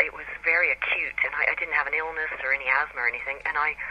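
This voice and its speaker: A woman talks fairly quickly in an American accent while noticeable noise sits in the background. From US Pacific Northwest, Seattle. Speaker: author. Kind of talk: radio interview.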